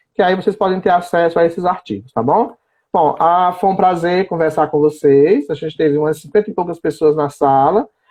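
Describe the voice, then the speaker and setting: This man has a high-pitched voice and speaks at a fairly quick pace. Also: ordinary pitch variation. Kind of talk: live-stream interview. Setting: online live stream.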